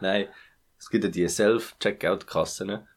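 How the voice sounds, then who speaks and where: A man's fairly low voice, very slow, with fairly even intonation. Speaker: podcast co-host. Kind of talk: casual chat. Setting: home recording.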